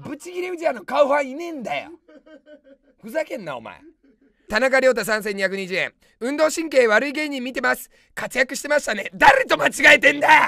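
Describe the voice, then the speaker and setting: Speaking in a raised, projected voice at an extremely high pitch, a man uses lively intonation and big swings in loudness at a moderate pace, in a dry sound with no echo and a quiet background. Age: 30s. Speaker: comedian. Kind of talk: live-stream comment rants. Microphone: webcam.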